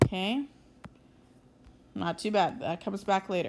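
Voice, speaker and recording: An ordinary speaking voice from a woman, medium-pitched and fairly slow, with ordinary pitch variation on a very clean recording with a silent background. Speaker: math teacher. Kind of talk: tutorial. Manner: casual, conversational.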